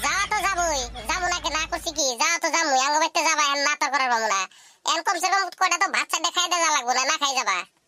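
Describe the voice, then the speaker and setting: In a squeaky, cartoonish character voice, a woman talks at a very fast pace with extremely high pitch and very even loudness. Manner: nagging, sarcastic.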